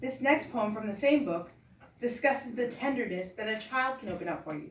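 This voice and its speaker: A woman with an ordinary speaking voice talks at a fairly quick pace in a fairly high voice. Her intonation is lively. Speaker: poet reading her own book. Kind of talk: poetry reading.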